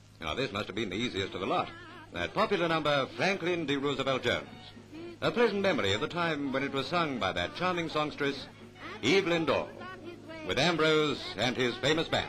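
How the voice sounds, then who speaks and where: A man talks at a fairly quick pace with a fairly high pitch and very wide pitch swings, with music playing in the background. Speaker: newsreel narrator. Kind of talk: newsreel narration.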